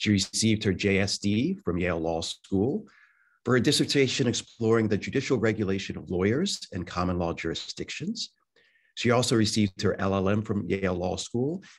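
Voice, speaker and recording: A man speaks at a moderate pace in an ordinary speaking voice, pitched fairly low. His pitch varies an ordinary amount, and the background is quiet. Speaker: law school dean. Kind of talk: formal introduction. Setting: video call. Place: office. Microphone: video call.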